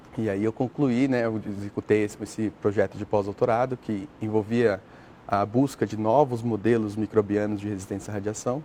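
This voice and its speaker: With a dark, mellow tone and a fairly low pitch, a man talks at a moderate pace using fairly even intonation. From Brazil, São Paulo state. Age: 30s. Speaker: astrobiologist, NASA researcher. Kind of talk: TV interview. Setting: TV studio. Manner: hesitant, filler-heavy (né).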